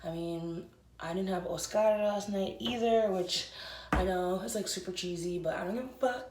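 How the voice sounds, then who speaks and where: A woman talks with ordinary pitch variation. Noticeable background noise and audible room echo fill the recording. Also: medium pitch for a woman, moderate pace. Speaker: vlogger and congenital heart patient. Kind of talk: casual vlog talk. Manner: speaking quietly.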